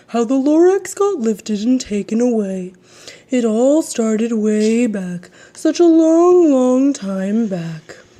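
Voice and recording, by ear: A female-sounding, put-on character voice comes across nasal and fairly high-pitched at a fairly slow pace.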